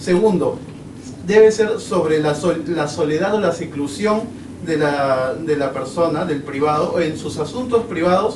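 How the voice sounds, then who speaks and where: Amid noticeable background noise and audible room echo, a man speaks fairly slowly in a fairly high voice with lively intonation. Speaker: law student speaker. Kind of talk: academic talk. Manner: many fillers and repetitions.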